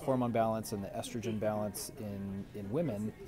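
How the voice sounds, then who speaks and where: A man with a fairly low pitch talks at a moderate pace with ordinary pitch variation, music playing in the background. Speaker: chiropractor. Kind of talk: health advice vlog. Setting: grocery store aisle. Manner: soft-spoken; casual with many fillers.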